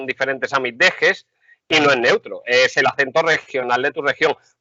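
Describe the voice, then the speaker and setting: This man speaks with an Andalusian accent. His pace is fairly quick. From Andalusia, Seville. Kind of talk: casual chat. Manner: animated.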